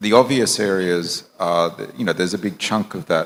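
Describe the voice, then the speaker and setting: Very deep and low, a man's voice carries ordinary pitch variation in a very clean recording with a silent background. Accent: Australian. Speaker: banker, panelist. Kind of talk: panel discussion. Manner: halting, repeats words.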